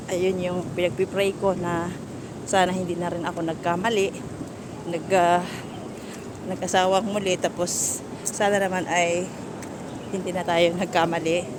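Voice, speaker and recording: Amid noticeable background noise and audible room echo, a woman with a fairly low pitch speaks in a flat monotone, leaving long, frequent pauses. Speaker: vlogger. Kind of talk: personal vlog talk. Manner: halting, with self-corrections.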